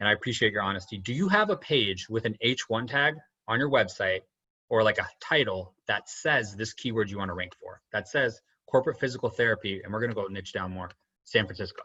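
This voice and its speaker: This man's voice sits at a medium pitch with ordinary pitch variation. He moves at a fairly quick pace. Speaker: podcast host and SEO marketer. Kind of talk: tutorial. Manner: fast; animated.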